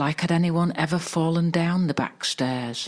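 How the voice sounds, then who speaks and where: Soft-spoken and calm in tone, a woman talks at a very slow pace with ordinary pitch variation. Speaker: meditation guide. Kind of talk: sleep story. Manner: calm, soft-spoken.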